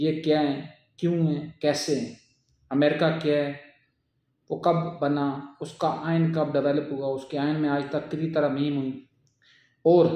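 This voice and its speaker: A man with a fairly high pitch and a dark, mellow tone speaks in a monotone, flat intonation. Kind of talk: political commentary talk.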